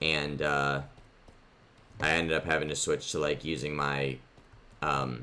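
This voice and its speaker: A man with a very deep, low pitch and vocal fry speaks at a fairly slow pace in a monotone, flat intonation, leaving long, frequent pauses. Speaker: gaming youtuber. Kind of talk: let's play commentary. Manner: rambling with many fillers.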